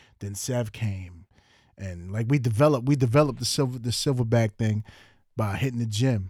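A man with a New York accent talks at a fairly quick pace and medium pitch, somewhat breathy and animated. His pitch varies in an ordinary way, and the recording is very clean with a silent background. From Long Island, New York (Central Islip, Suffolk County). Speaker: podcast host, police officer. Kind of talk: casual chat.

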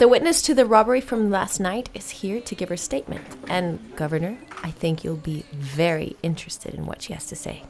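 Noticeable background noise sits under a woman's medium-pitched voice. She speaks at a fairly quick pace with lively intonation. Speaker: police sergeant (character). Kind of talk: scripted comedy audio drama. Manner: deferential, rambling, flustered.

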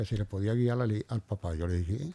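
The recording is very clean, with a silent background. A man with a Puerto Rican accent speaks in a dark, mellow tone at medium pitch with ordinary pitch variation. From Puerto Rico, barrio Río Arriba. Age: 70s. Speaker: retired police officer and businessman. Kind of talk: interview.

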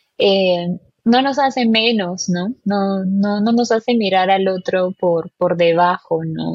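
This woman talks at a very slow pace. Her voice is somewhat breathy, with ordinary pitch variation. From Peru. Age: 20s. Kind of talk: casual chat about faith. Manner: halting, many fillers.

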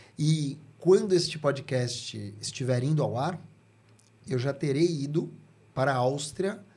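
This man's voice has a dark, mellow tone, is somewhat breathy, and sits at a fairly high pitch. He talks at a fairly slow pace with ordinary pitch variation. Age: 50s. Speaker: communication strategist and speaker. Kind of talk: casual interview.

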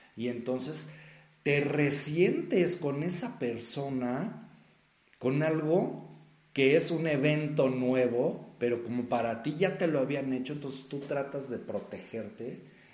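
A man with a fairly high pitch and ordinary pitch variation speaks at a very slow pace amid audible room echo. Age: 40s. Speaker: self-help coach and podcast host. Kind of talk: solo motivational talk. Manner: conversational with many filler words.

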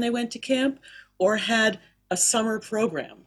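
A woman's fairly high, somewhat breathy voice with an American accent, ordinary pitch variation and a fairly slow pace. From US South, Miami. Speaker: cantor and singing teacher. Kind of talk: interview. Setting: video call.

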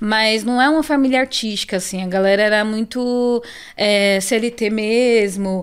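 A woman with a normal speaking voice, fairly high in pitch, with fairly even intonation. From Brazil, São Paulo South Zone. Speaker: illustrator. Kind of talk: casual interview.

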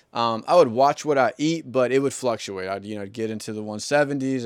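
Here a man speaks with an American accent in a normal speaking voice. His pace is fairly quick, and his pitch varies in an ordinary way. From US South. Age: 30s. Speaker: podcast host. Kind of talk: solo monologue. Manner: casual.

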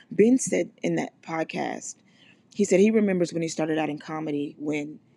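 A woman with an American accent speaks at a fairly quick pace in a very deep, low voice with ordinary pitch variation. Her tone is dark and mellow, with vocal fry. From US South, Mississippi. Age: 30s. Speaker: podcast host. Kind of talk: motivational solo monologue. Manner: casual, conversational.

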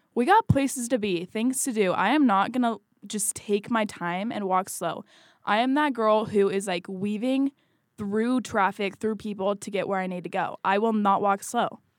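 A woman speaks with an American accent in a normal speaking voice, at a moderate pace with ordinary pitch variation. The recording is very clean with a silent background, and the sound is dry and close with no echo. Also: fairly high pitch for a woman. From Washington State. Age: 20s. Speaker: podcast co-host, college student. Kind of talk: casual chat.

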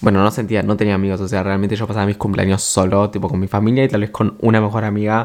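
Amid noticeable background noise, a soft-spoken man with a fairly low pitch talks at a very fast pace in a monotone, flat way. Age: 20s. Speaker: podcaster. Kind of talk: casual monologue. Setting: at home late at night.

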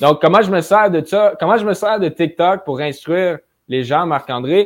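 A man speaks at a moderate pace in a high pitch. His tone is energetic, with ordinary pitch variation. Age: 20s. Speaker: young real estate investor. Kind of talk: casual interview chat.

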